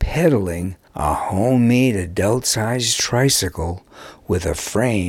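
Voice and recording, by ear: Someone reads aloud. The delivery is in a natural voice.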